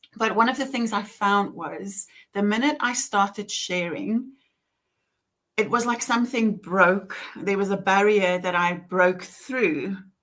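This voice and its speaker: Speaking at a fairly slow pace, a woman with a strong Afrikaans accent uses a medium pitch and ordinary pitch variation. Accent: heavy Afrikaans. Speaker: author and author coach. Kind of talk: casual chat. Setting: live stream video call.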